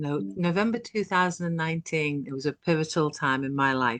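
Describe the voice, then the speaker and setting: A woman with a British accent, a bright, sharp tone, very deep, low pitch and ordinary pitch variation, against a quiet background. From UK. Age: 60s. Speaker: online business owner. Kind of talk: interview testimony.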